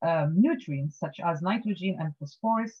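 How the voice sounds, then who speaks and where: The voice is somewhat breathy with lively intonation, set against a quiet background. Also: woman. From Tunisia. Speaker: marine scientist. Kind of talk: lecture. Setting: video call. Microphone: video call.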